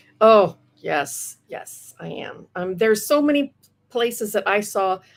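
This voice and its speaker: Here is an ordinary speaking voice with an American accent, moving at a fairly slow pace. The intonation is lively and the loudness swings widely. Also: woman, fairly high pitch for a woman. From US Midwest, Iowa. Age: 60s. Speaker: comic book inker and writer. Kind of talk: interview.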